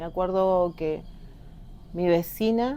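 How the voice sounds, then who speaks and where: A woman speaks very slowly in a dark, mellow tone with a fairly low pitch. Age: 50s. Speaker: local resident, witness. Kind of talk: testimony.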